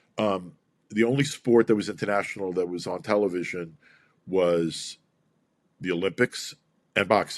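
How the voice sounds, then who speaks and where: On a very clean recording with a silent background, a man with a New York accent speaks in a fairly low voice. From US Northeast, Brooklyn. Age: 60s. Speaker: boxing promoter. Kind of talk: interview. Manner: animated.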